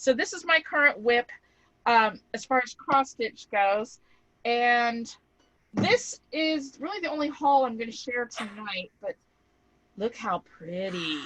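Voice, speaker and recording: A woman speaks at a fairly slow pace and a high pitch, with very wide pitch swings, big swings in loudness, a bright, sharp tone, and long, frequent pauses. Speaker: crafting channel co-host. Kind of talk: casual chat.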